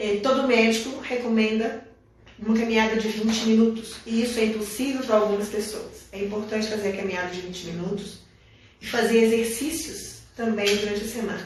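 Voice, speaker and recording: A woman with fairly high pitch and fairly even intonation, speaking fairly quickly amid audible room echo and noticeable background noise. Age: 70s. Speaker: biodanza school director. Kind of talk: live stream interview.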